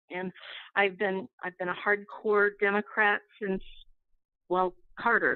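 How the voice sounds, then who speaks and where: A woman with an Upper Midwest accent talks in a flat monotone, leaving long, frequent pauses. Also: medium pitch for a woman. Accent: Upper Midwest American. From Minnesota. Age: 60s. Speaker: caller. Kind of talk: call-in comment. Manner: halting.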